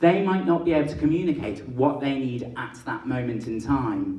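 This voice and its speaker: At a moderate pace, a man with an English accent talks in a fairly high pitch with lively intonation. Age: 20s. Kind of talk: public talk.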